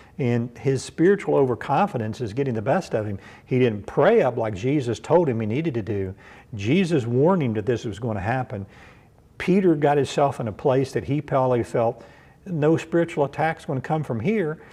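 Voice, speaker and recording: A man with a Kentucky accent: dark, mellow tone, lively intonation, fairly quick pace. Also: medium pitch for a man. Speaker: pastor. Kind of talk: bible study sermon. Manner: conversational, repetitive with fillers.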